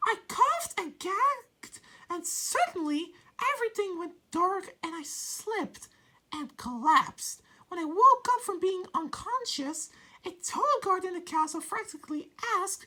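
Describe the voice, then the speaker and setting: This woman's voice sits at an extremely high pitch. Her pitch swings very widely, and her loudness rises and falls sharply. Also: moderate pace. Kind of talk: fan story reading. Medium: virtual streamer. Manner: hesitant, stumbling over words.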